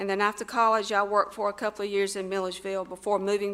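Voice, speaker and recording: A woman with a Southern US accent talks at a very fast pace, at a medium pitch. Her tone is bright and sharp, her intonation monotone and flat. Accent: Southern US (Georgia). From US South, Georgia. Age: 60s. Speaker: mayoral candidate. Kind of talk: campaign speech. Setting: school assembly with audience.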